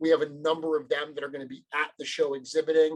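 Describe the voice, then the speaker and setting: A man with a strong US Northeast accent speaks at a fairly high pitch with fairly even intonation. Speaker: toy company sales and marketing director. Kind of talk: podcast interview.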